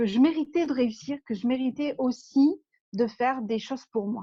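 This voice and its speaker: A woman with a southern French accent, at a moderate pace with ordinary pitch variation. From southern France. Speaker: life coach for entrepreneurs. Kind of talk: interview.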